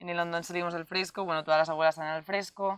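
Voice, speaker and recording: A woman talks in a fairly low pitch with monotone, flat intonation. The background is quiet. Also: dry sound with no echo. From Spain, Valencia region (Enguera); Valencia region, Spain. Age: 20s. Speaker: nursing student, festival queen. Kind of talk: interview. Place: open country. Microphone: lapel.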